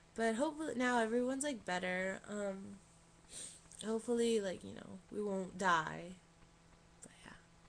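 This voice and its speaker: A woman's voice with long, frequent pauses and audible room echo. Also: medium pitch for a woman, ordinary pitch variation, moderate pace. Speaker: vlogger. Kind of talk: casual vlog. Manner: rambling, filler-heavy casual speech.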